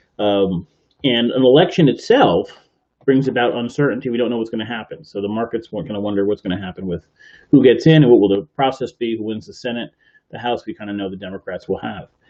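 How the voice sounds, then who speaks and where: Here a man speaks at a very fast pace. His voice sits at a medium pitch with ordinary pitch variation. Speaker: podcast host. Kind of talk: live podcast commentary. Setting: live stream from computer. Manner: soft-spoken.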